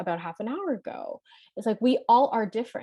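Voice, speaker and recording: A woman with a Canadian accent, a dark, mellow tone and a fairly quick pace, against a quiet background. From Canada, Toronto (Scarborough). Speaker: life and leadership coach. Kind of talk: workshop presentation. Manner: loud; fast.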